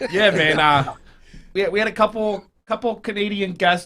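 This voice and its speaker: With an American accent, a man uses a raised, projected voice that is high in pitch and bright and sharp in tone, with ordinary pitch variation. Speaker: podcast host. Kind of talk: casual chat. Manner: halting, repeats words.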